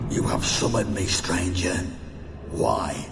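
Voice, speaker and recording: Through loud background noise and a clear echo, a man performs a put-on character voice. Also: fairly slow pace. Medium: machinima. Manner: cold, menacing.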